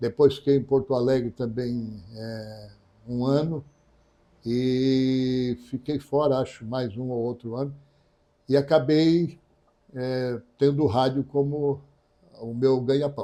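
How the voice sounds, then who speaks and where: Leaving long, frequent pauses, a man talks at a very slow pace with fairly even intonation. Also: medium pitch for a man. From Santa Catarina, Brazil (Tubarão). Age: 70s. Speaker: radio broadcaster and journalist. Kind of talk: interview.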